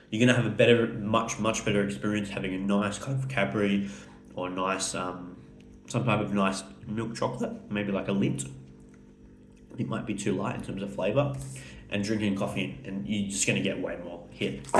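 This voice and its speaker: Music plays in the background while a man delivers his words with lively intonation. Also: moderate pace. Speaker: food reviewer. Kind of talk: casual talk to camera.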